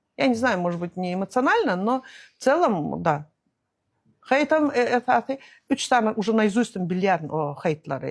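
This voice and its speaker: On a very clean recording with a silent background, a woman at a medium pitch speaks at a moderate pace with very wide pitch swings and long, frequent pauses. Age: 60s. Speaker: entrepreneur and traveller. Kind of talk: interview. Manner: hesitant, many fillers.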